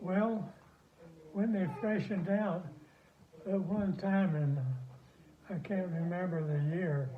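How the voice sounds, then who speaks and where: Over noticeable background noise, a high-pitched man speaks very slowly with long, frequent pauses and ordinary pitch variation. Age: 80s+. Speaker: retired dairy farmer and rancher. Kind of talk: interview answer. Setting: phone recording.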